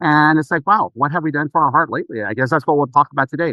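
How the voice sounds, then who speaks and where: Here a man speaks in a normal speaking voice at a fairly high pitch. His pitch variation is ordinary. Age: 60s. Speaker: naturopathic physician. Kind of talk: podcast interview.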